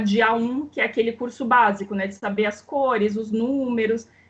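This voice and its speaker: A woman's high voice with ordinary pitch variation at a moderate pace, against noticeable background noise. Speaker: doctor trained in Cuba, author. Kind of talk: casual interview conversation.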